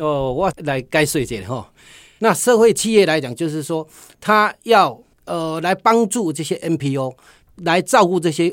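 A man with a high voice speaks at a fairly slow pace with lively intonation. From Taiwan, Tainan. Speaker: social enterprise CEO, honey business owner. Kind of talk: radio interview.

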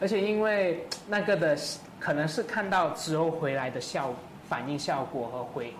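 A man with a fairly high pitch speaks at a moderate pace with lively intonation. Noticeable background noise and audible room echo are present. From Malaysia, Kuala Lumpur. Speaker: singer-songwriter. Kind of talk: casual chat.

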